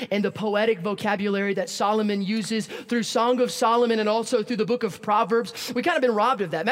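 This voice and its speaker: Noticeable background noise sits behind a man whose high voice shifts in pitch an ordinary amount. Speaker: preacher. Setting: church service. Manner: fast talker.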